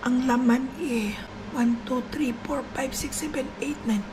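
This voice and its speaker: Her voice is high-pitched with fairly even intonation, and the recording has audible room echo and noticeable background noise. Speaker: vlogger. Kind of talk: casual vlog chat.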